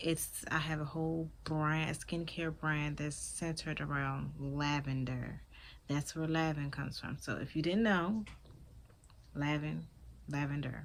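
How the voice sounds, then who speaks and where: Speaking with a Maryland accent, a woman with a very deep, low pitch keeps a fairly slow pace and fairly even intonation while audible room echo surrounds her. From Maryland, Prince George's County. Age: 20s. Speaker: vlogger and skincare business owner. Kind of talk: casual vlog introduction and product talk.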